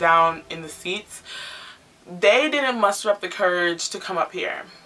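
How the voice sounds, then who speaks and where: Amid noticeable background noise, a woman talks at a moderate pace. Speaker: YouTube vlogger. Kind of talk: casual vlog monologue. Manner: loud.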